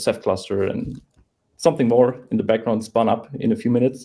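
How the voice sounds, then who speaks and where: A man speaks at a moderate pace in a medium pitch. Vocal fry runs through his voice. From Germany. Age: 20s. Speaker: software developer. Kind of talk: interview. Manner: halting.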